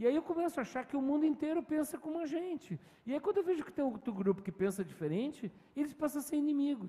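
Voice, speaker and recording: A man speaks very fast with lively intonation and an extremely high pitch. His tone is dark and mellow. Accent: southern Brazilian. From Rio de Janeiro, Brazil. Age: 50s. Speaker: communication professor. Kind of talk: interview answer. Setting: virtual event.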